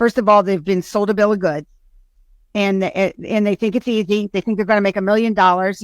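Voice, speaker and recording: With an energetic tone, a woman at a medium pitch speaks in a dry, close sound with no echo. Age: 60s. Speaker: insurance agency owner. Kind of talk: interview answer.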